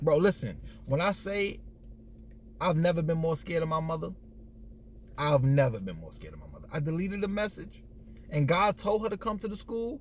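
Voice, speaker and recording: Fairly high-pitched and animated, a man talks at a fairly quick pace with lively intonation, big swings in loudness and long, frequent pauses. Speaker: storyteller vlogger. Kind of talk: casual storytelling.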